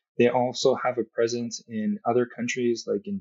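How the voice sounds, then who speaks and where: In an American accent, a man talks at a medium pitch with monotone, flat intonation. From Southern California. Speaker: surgeon. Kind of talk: interview.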